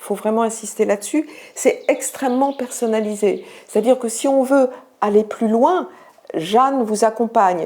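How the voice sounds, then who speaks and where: Her tone dark and mellow, a woman with a fairly high pitch and ordinary pitch variation speaks at a moderate pace. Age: 60s. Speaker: student cellist giving a testimonial. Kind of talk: testimony. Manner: hesitant with frequent fillers.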